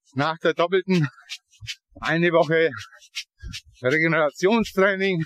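Pausing long and often, a man with a high pitch talks at a fairly slow pace with fairly even intonation, in a dry, close sound with no echo. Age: 50s. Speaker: ultra-triathlete. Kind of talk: casual chat. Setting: outdoors.

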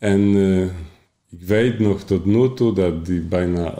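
Audible room echo surrounds a man's very deep, low voice as he speaks very slowly with ordinary pitch variation. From Poland. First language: Polish (speaking Dutch). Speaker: coach and bookkeeper, former addict. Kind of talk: personal testimony in interview. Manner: halting.

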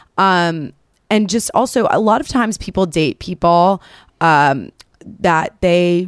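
In a plain, everyday voice, a woman speaks with an American accent at a medium pitch, with ordinary pitch variation. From New York City. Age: 20s. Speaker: dating advice content creator. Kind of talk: casual chat. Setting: studio.

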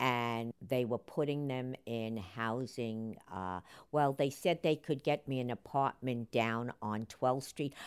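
The speaker has a New York accent and talks at a very slow pace with hardly any pauses and ordinary pitch variation. The recording is very clean with a silent background. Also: woman, very deep, low pitch for a woman. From New York, the Bronx. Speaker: interviewee recalling city life. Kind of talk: interview reminiscence.

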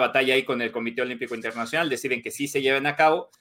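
This man's fairly high voice has a bright, sharp tone and fairly even intonation. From Mexico. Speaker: sports journalist. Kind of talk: casual chat. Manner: halting.

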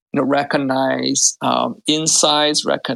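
Speaking very slowly with a non-native accent, a man comes across in a dry, close sound without echo. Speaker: tech startup founder. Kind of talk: interview. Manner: halting, many fillers.

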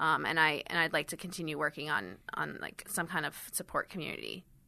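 A woman talks at a very fast pace with a very deep, low pitch and ordinary pitch variation. Her tone is bright and sharp, with vocal fry. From Switzerland, raised in Miami and London. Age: 20s. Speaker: startup founder and CEO. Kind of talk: interview. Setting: studio.

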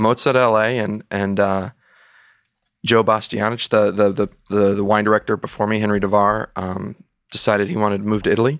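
This man speaks at a fairly quick pace in a fairly low pitch. The sound is dry and close with no echo, on a very clean recording with a silent background. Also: fairly even intonation. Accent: American. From Texas. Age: 30s. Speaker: sommelier. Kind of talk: interview. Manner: halting with frequent repetitions.

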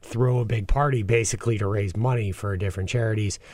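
In a very clean recording with a silent background, a man of medium pitch speaks somewhat breathily at a fairly quick pace with ordinary pitch variation. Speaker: chef. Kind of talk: casual chat.

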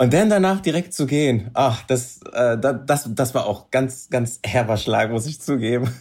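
A somewhat breathy man talks at a fairly slow pace with lively intonation. He leaves hardly any pauses. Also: medium pitch for a man. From Berlin, Germany. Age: 30s. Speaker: reality TV contestant. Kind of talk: casual chat.

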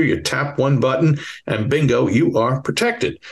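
This man speaks in a Bronx accent. His voice has a slightly husky edge. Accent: Bronx New York.

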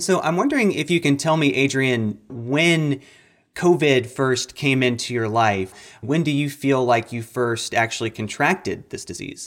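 A man talks at a fairly slow pace in a fairly high pitch. His is an unremarkable speaking voice with ordinary pitch variation. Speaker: health reporter. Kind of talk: interview.

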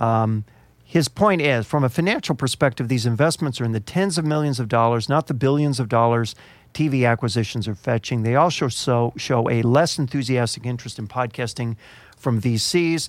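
At a fairly quick pace, a man with a normal speaking voice and a medium pitch talks with ordinary pitch variation. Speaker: podcast host. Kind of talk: casual chat. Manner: joking.

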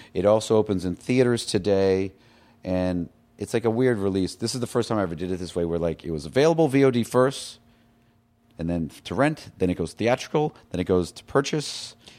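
This man has an unremarkable speaking voice and an American accent, with fairly low pitch and lively intonation. He talks at a fairly quick pace in a very clean recording with a silent background. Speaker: filmmaker. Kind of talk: casual chat.

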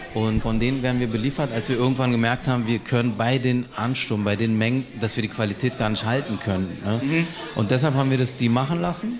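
A man speaks at a fairly quick pace with hardly any pauses and very even loudness. Noticeable background noise is present. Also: medium pitch for a man, ordinary pitch variation. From Berlin-Neukölln. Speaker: restaurant co-founder. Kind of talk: casual interview. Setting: live podcast in restaurant.

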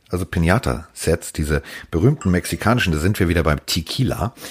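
With vocal fry and lively intonation, a man talks in a very deep, low-pitched voice. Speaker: NFL podcast co-host. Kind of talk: casual chat. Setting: remote recording over internet. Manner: animated.

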